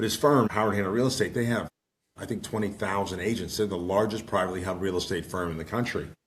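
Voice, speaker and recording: A man talks in a fairly low voice with fairly even intonation. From Pittsburgh, Pennsylvania. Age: 60s. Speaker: financial advisor and firm founder. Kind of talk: podcast interview. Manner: halting, many repetitions; folksy.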